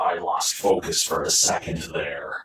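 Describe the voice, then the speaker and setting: Growling in a put-on character voice, a man speaks at a fairly slow pace with a slight echo. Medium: read story. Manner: gruff, terse, sardonic.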